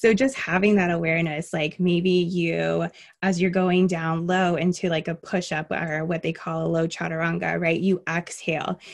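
With an American accent, this is an ordinary speaking voice at a moderate pace, with fairly even intonation, hardly any pauses and a quiet background. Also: woman, fairly low pitch for a woman. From Miami, raised across the US (army family). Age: young. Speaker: yoga instructor. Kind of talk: casual interview.

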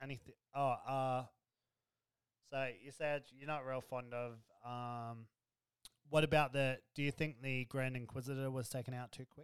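Speaking at a moderate pace with long, frequent pauses, a man delivers his words in a medium-pitched, monotone, flat voice, with a dry, close sound and no echo. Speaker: podcast co-host. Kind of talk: casual chat. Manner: banter, joking.

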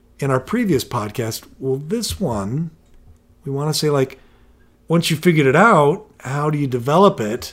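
This man has an unremarkable speaking voice at a fairly high pitch. He keeps a moderate pace with lively intonation. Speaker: podcast co-host and parent. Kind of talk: casual podcast discussion with joke reading.

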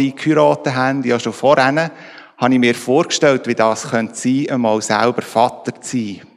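A man with an ordinary speaking voice talks at medium pitch and a moderate pace, with ordinary pitch variation. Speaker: church team member. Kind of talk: testimony.

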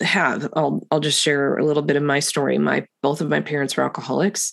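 A woman with a very deep, low pitch and vocal fry, over a quiet background. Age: 50s. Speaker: podcast host. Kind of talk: faith-based conversation.

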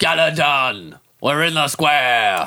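A man shouts in a put-on character voice, raspy and fairly high in pitch. He keeps up the act throughout. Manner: shouting.

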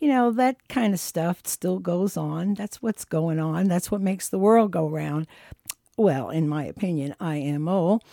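Her pitch is fairly low and her intonation lively, with a relaxed, warm, dark and mellow tone. The woman's sound is dry and close, with no echo. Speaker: radio host. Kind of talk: radio DJ patter between songs. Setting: radio studio broadcast. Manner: relaxed, chatty, warm; easygoing, with filler 'uh' pauses.

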